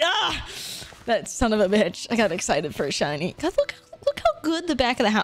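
A woman's animated tone in a dry sound with no echo, faint music in the background. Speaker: video game streamer. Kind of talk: live gameplay stream chat. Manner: loud. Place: home room. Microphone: studio mic.

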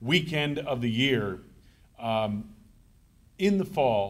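Very wide pitch swings in a male voice. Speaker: radio sports broadcaster. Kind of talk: speech to an audience at a conference. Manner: conversational, anecdotal. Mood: warm, reminiscing. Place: hall. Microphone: podium.

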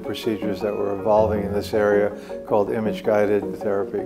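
Clear music plays in the background. Over it, a man with a fairly low pitch talks at a fairly quick pace. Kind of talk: interview answer. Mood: calm, reflective. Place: office.

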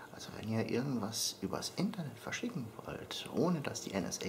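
A man whispers, keeping his pace moderate. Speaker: vlogger. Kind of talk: casual vlog chat. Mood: playful, joking. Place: home room.

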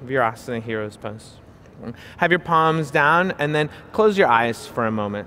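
Over light background noise, a man talks at a moderate pace with lively intonation and a calm tone. His tone is bright and sharp. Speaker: yoga instructor. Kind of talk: guided yoga class with spoken cues. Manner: calm, clear, instructional; encouraging, friendly. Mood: calm, soothing. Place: hall.

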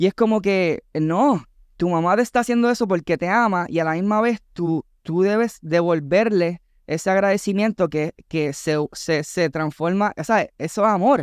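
A man with a Puerto Rican accent speaks at a high pitch with ordinary pitch variation. The sound is dry, with no echo and a quiet background. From Puerto Rico. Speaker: content creator and entertainer; content creator. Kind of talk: casual chat. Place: studio. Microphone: studio mic.

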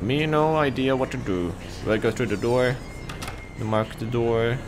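A man's voice shows ordinary pitch variation, with noticeable background noise behind it. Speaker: gaming streamer. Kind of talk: excited gameplay commentary. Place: home room.

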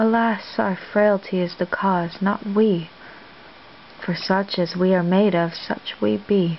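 Light background noise sits behind a woman who speaks at a fairly slow pace with fairly even intonation. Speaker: amateur reader of Shakespeare. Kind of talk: soft-spoken ASMR reading of theatre monologues. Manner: soft-spoken, whispered, relaxing. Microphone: webcam.

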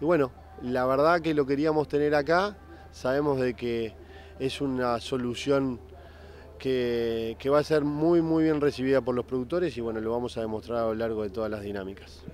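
The pace is moderate and the tone slightly mellow. Pitch variation is ordinary. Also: man, medium pitch for a man.

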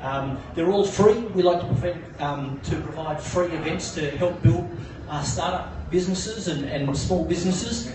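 Audible room echo and noticeable background noise surround a man's high-pitched voice. He keeps a moderate pace with ordinary pitch variation. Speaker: coworking space community manager. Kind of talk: pitch presentation. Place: bar.

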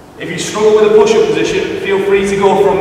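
Strong room echo and light background noise surround a man speaking in a high pitch. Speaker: fitness trainer. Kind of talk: workout tutorial instruction. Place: gym.

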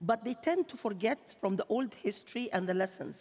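Speaking with an Arabic accent, a woman uses lively intonation at a fairly high pitch. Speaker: bank chief executive; panelist. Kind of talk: panel discussion. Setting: stage with audience. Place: stage.

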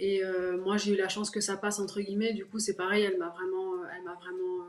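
A woman speaks with monotone, flat intonation. Light background noise can be heard. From La Rochelle, France; France. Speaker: professional basketball player; guest. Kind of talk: interview. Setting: video call. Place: home room. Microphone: video call.

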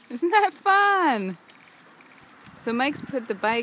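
Noticeable background noise surrounds a woman whose voice sounds dry, with no echo. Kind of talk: casual home video chat with a child. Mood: warm, playful, encouraging. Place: garden. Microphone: phone near.

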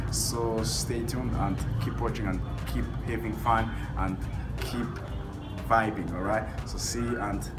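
Music plays in the background as this man talks at a moderate pace. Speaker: travel vlogger. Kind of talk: casual vlog chat. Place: street. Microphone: phone near.

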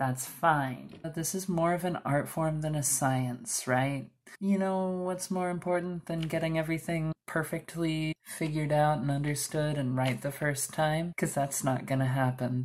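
Soft-spoken and very deep and low in pitch, a woman talks with ordinary pitch variation and hardly any pauses over a quiet background. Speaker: beauty vlogger; makeup tutorial host. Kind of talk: tutorial. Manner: slow. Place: home room. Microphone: camera far.

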